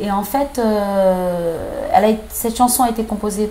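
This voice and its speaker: Over light background noise, a woman speaks at a fairly high pitch with ordinary pitch variation. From Senegal. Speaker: singer; interviewee. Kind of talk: interview. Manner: halting. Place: home room.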